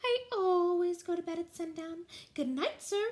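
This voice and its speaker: Using a put-on character voice, a soft-spoken woman speaks at a moderate pace in a gentle tone, squeaky and extremely high in pitch. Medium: read story. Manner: polite, gentle.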